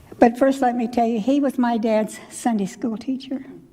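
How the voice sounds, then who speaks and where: Noticeable background noise surrounds a woman with a high pitch. She speaks in a Midwestern American accent with fairly even intonation. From US Midwest, Missouri. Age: 90s. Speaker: church elder speaker. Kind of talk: personal reminiscence talk. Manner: conversational, rambling with restarts.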